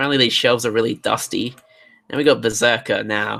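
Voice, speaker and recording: The man's voice has a bright, sharp tone and ordinary pitch variation. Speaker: toy collector livestreamer. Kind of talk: casual livestream commentary. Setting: online livestream. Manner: halting.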